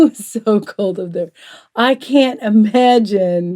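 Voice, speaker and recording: With a Southern US accent, a woman talks at a very slow pace. Her tone is dark and mellow, her intonation lively. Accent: southern US drawl. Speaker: quilting talk show co-host. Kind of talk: casual chat.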